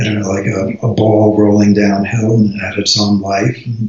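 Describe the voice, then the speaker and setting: The man's voice is fairly low and somewhat breathy. He keeps a moderate pace. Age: 70s. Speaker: retired Chinese medicine practitioner and Buddhist teacher. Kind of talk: interview. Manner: halting, many fillers and repeats.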